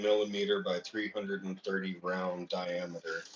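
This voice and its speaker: With noticeable background noise behind him, a man talks at a moderate pace in a fairly low pitch with fairly even intonation. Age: 30s. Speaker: coin collecting livestreamer. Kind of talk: casual chat. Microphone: echo.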